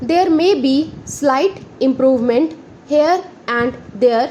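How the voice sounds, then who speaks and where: Noticeable background noise sits behind a woman speaking at a very slow pace. Her pitch is high, with ordinary pitch variation. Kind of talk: shorthand dictation reading of a parliamentary speech, slow dictation pace.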